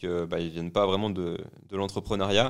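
This man has a plain, everyday voice, fairly low in pitch, at a fairly quick pace. The recording is very clean with a silent background. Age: 20s. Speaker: podcast host and entrepreneur. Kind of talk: casual chat.

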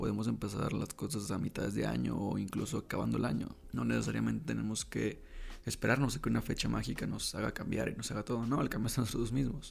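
A man with a Mexican accent, talking at a very fast pace. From Mexico, Baja California Sur (La Paz). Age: 20s. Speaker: podcaster, student. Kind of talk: casual personal monologue. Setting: home desk recording.

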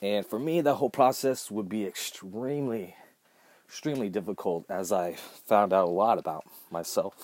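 A man with an American accent and a plain, everyday voice, fairly low in pitch, at a moderate pace with lively intonation. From Southern California. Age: 30s. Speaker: podcast host, musician. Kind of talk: personal storytelling monologue. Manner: casual, many fillers.

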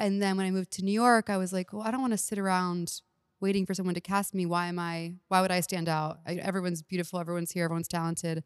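A woman with an American accent, medium pitch, fairly even intonation and a very fast pace, in a very clean recording with a silent background and a dry, close sound with no echo. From Texas, Houston. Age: 30s. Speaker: comedian. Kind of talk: casual chat.

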